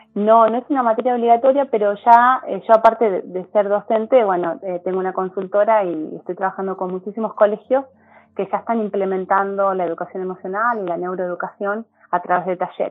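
This woman speaks at a fairly quick pace, her medium pitch moving with ordinary variation. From Argentina, Córdoba province. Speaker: teacher and neuroscience educator. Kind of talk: interview conversation. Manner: hesitant, many fillers.

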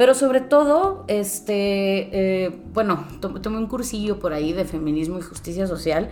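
Over noticeable background noise, a woman with a strong northern Mexican accent speaks at a moderate pace and medium pitch. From northern Mexico. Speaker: lawyer. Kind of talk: casual chat.

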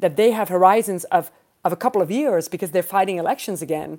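A woman speaks with a Dutch accent at a medium pitch. Her tone is dark and mellow, with ordinary pitch variation. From Netherlands. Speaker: political science professor. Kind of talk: panel discussion.

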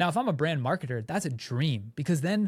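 Somewhat breathy and animated, the voice moves at a fairly quick pace with lively intonation in a very clean recording with a silent background. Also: man. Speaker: content creator and podcast co-host. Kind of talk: casual brainstorm chat. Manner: fast.

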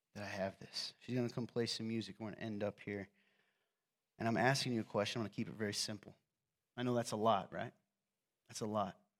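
In a very clean recording with a silent background, a man with a slight Southern US accent talks at a very fast pace. His pitch is fairly low, his intonation fairly even, and he leaves long, frequent pauses. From US South, coal mining region; raised in northern Indiana. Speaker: pastor. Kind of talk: sermon. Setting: church with audience. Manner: casual, joking.

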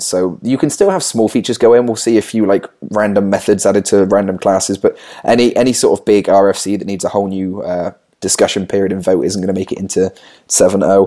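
This man's voice is fairly low, with a dark, mellow tone. He talks at a fairly quick pace with fairly even intonation. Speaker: software developer. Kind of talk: casual chat.

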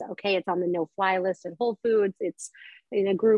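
A woman with an unremarkable speaking voice at medium pitch, a fairly quick pace and ordinary pitch variation, in an American accent. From Colorado, US. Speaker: wine entrepreneur and former sommelier. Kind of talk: casual chat.

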